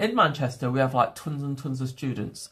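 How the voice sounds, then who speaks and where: This man's voice comes across as somewhat breathy. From England. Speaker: livestreamer. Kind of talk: casual livestream chat.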